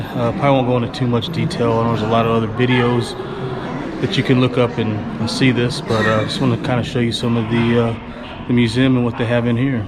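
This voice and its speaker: A man talks at a very fast clip, his pitch sitting in the medium range. Noticeable background noise and audible room echo surround him. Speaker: vlogger. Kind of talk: travel vlog. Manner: casual, halting with fillers.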